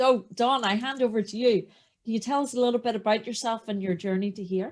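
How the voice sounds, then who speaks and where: This is a woman's voice. She speaks in a strong Northern Irish accent. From Northern Ireland. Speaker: podcast host. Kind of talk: podcast interview.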